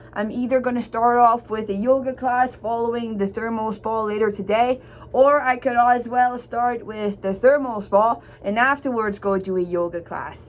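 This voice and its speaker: Pitched fairly high, a woman talks with an unremarkable speaking voice at a moderate pace and with fairly even intonation. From Ottawa, Canada (Franco-Ontarian). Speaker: vlogger. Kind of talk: casual vlog talk.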